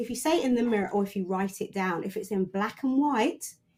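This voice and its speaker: A woman with a British accent, at a fairly quick pace, with ordinary pitch variation. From UK, Caribbean family background. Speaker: coach and mentor for women in tech. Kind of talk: podcast interview. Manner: loud, forthright.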